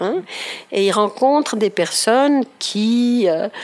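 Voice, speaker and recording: Speaking at a very slow pace, a woman uses lively intonation at a fairly high pitch. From Ticino, Switzerland. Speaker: speech therapist and author. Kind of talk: interview. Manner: halting, many hesitations.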